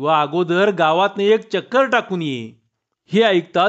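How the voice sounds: A natural reading voice over a quiet background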